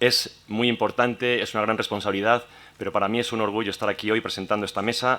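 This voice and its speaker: A man's bright, sharp, fairly low-pitched voice, monotone and flat, at a fairly quick pace. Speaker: round table moderator. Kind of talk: panel introduction.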